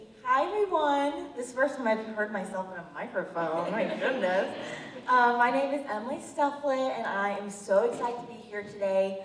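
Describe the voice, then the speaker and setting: A woman speaks at a high pitch with lively intonation and big swings in loudness. Room echo is audible, and the background noise is noticeable. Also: moderate pace. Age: young. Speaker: college student and patient advocate. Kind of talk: public speech. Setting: event with audience, microphone.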